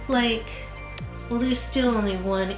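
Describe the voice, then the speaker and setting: Clear music can be heard in the background. A woman talks at a moderate pace. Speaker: interviewee. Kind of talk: interview answer. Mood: thoughtful, calm. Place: home room.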